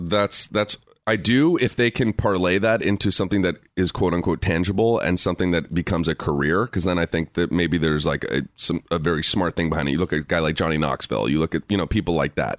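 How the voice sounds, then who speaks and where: A man's very deep, low voice with an American accent, very fast in pace, with ordinary pitch variation and very even loudness, in a dry, close sound with no echo. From Los Angeles. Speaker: documentary filmmaker. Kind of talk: casual interview chat. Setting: studio.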